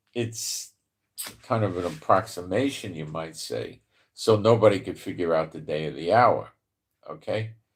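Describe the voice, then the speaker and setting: A somewhat breathy man with a New York accent speaks at a moderate pace and fairly low pitch. His loudness swings widely, with ordinary pitch variation. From New York (the Bronx). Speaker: Bible prophecy commentator. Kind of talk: live stream Bible teaching. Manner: casual, filler-heavy.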